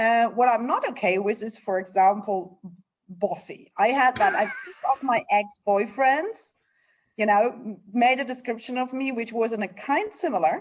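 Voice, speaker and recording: A woman speaks in a German accent at a fairly high pitch. Her intonation is lively and her pace moderate. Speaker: NGO leader. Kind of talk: interview.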